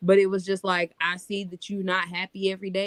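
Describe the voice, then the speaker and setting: A woman has an ordinary speaking voice at a medium pitch. She speaks at a fairly quick pace, in a dry, close sound with no echo. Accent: American. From North Carolina, US South. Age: 30s. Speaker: podcast co-host. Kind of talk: casual chat.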